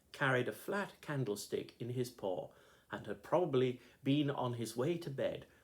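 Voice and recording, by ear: Natural-voiced reading aloud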